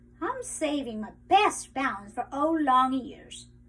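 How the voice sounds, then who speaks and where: A put-on character voice is used. It sits at a high pitch and goes at a fairly slow pace. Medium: read story. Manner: exuberant, breezy.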